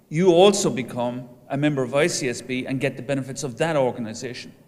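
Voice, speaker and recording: A fairly high-pitched man with an Irish accent, ordinary pitch variation and audible room echo. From Ireland. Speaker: professor of entrepreneurship, association president. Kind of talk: conference speech.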